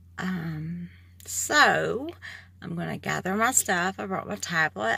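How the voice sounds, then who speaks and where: Speaking fairly slowly, a woman talks in an Appalachian accent. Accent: noticeable regional accent, Appalachian. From moved around the US, military family. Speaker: vlogger, patient. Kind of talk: personal video diary. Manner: hesitant, many ums.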